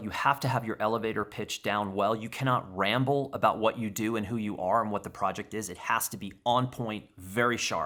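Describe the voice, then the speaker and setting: A man's animated, bright, sharp voice in a medium pitch at a fairly quick pace, on a very clean recording with a silent background. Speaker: photographer answering viewer questions. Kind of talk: casual vlog Q&A monologue.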